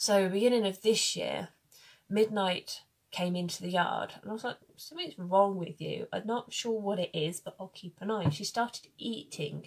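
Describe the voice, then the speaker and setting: A somewhat breathy woman speaks at a moderate pace with ordinary pitch variation. Her loudness swings widely. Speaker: horse owner vlogger. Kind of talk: casual vlog chat. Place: home room. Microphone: phone near.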